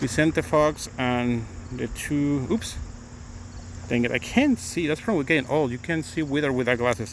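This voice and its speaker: A man with a Mexican accent speaks at medium pitch and a moderate pace with lively intonation. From Mexico City, Mexico. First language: Spanish. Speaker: attorney and livestreamer. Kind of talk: casual live-stream chat. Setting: outdoors walking. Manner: halting.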